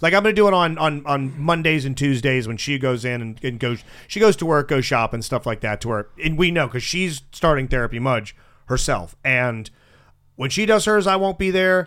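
A man with a normal speaking voice talks with lively intonation. His pitch is fairly high and his pace fairly quick. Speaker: radio show host. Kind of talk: casual banter, comedy radio show. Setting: studio.

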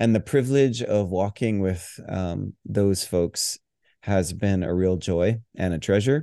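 In a dry, close recording with no echo and a quiet background, a man with a dark, mellow tone and fairly low pitch speaks at a very slow pace with ordinary pitch variation. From Hawaii. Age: 40s. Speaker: pastor and worship leader. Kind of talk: podcast interview.

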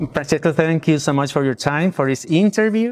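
This is a man speaking. He talks with a Spanish accent. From El Salvador. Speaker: YouTuber, interviewer. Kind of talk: interview.

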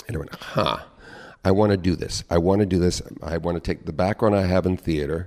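His pitch very deep and low, a man talks at a fairly quick pace with fairly even intonation. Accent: West Coast US. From Southern California (Long Beach). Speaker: actor and performer. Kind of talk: casual interview.

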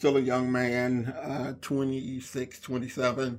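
A man with an American accent speaks at a very slow pace in a medium pitch, his intonation monotone and flat. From Inglewood, California (US West Coast). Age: 50s. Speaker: podcast host and fitness center owner. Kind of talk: casual monologue. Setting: recording alone on a laptop. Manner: hesitant, many fillers.

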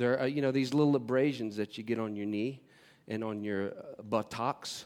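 A plain, everyday voice with an American accent, ordinary pitch variation and a fairly quick pace. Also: man. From North Carolina. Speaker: guest speaker on worship. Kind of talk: sermon. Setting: church service with audience.

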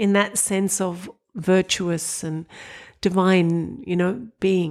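Someone with an Australian accent speaks in a very clean recording with a silent background. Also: woman. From Australia, Sydney. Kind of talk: casual interview conversation.

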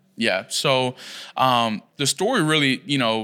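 An ordinary speaking voice moves at a moderate pace with ordinary pitch variation. The recording is very clean with a silent background. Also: man. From Puerto Rico, raised in Philadelphia. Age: 20s. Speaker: pastor. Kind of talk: testimony.

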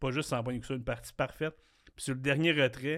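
A man with a medium pitch talks at a very fast pace, his intonation fairly even. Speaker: podcast host. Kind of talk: casual chat; quiz hosting. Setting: studio.

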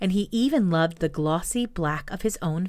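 The intonation is lively throughout this plain reading aloud.

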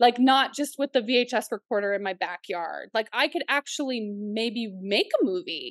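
A woman with an American accent speaks in a fairly high pitch with ordinary pitch variation, a moderate pace and hardly any pauses. Hers is an unremarkable speaking voice, with a dry, close sound with no echo and a quiet background. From northeastern Oklahoma / southwest Missouri. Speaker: writer-director. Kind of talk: interview chat.

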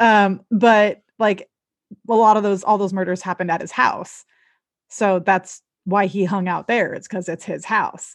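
Against a quiet background, a woman with an American accent and an unremarkable speaking voice talks fairly slowly at a medium pitch with fairly even intonation. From Southern California. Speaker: podcast co-host and makeup artist. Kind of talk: casual chat.

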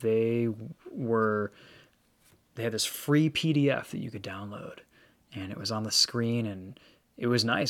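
With an American accent, a man uses an ordinary speaking voice at a medium pitch, with ordinary pitch variation and a moderate pace, on a very clean recording with a silent background. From Michigan. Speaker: automotive YouTuber and car reviewer. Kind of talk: casual chat.

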